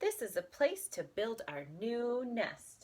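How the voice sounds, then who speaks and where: Putting on a character voice, a woman talks at a fairly slow pace and a high pitch. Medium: read story. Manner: firm, self-assured.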